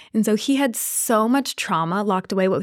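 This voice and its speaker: A woman talks at a fairly quick pace. Hers is an ordinary speaking voice. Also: very clean recording, silent background. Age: 30s. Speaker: dating and relationship coach. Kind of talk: casual chat.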